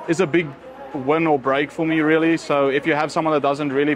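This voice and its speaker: A man's fairly high, flat and monotone voice at a very fast pace amid noticeable background noise. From South Africa, Cape Town area. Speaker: wedding photographer. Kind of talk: casual interview. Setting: restaurant.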